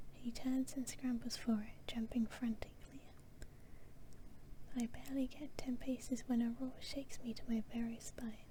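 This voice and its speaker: A woman whispers with a British accent at a fairly slow pace. Noticeable background noise can be heard. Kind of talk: story reading. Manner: soft-spoken.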